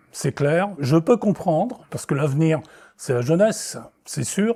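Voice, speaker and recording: In a very clean recording with a silent background, a man with a dark, mellow tone and a fairly high pitch talks at a moderate pace with lively intonation. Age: 70s. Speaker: retired business owner, local election candidate. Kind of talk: testimony. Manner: hesitant, with frequent fillers.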